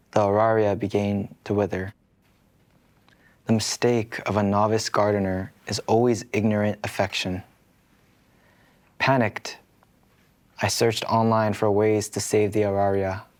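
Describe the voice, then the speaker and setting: Soft-spoken and gentle in tone, a man talks in a fairly low pitch at a fairly slow pace, with monotone, flat intonation and long, frequent pauses. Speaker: K-pop idol. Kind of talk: sleep story. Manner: soft, gentle.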